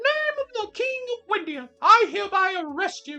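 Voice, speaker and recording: This is a put-on character voice at an extremely high pitch, moving at a moderate pace. Faint music plays in the background. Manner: authoritative, commanding.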